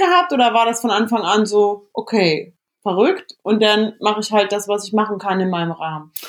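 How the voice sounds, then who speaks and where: At a moderate pace and with lively intonation, a woman uses an ordinary speaking voice pitched fairly high. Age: 30s. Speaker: podcast host. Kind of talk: casual chat. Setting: remote call from home bedroom.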